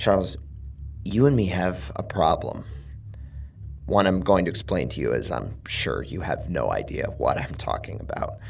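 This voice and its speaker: In a put-on character voice, a man speaks raspily at a moderate pace, with clear background noise behind him. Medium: read story. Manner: casual, taunting menace.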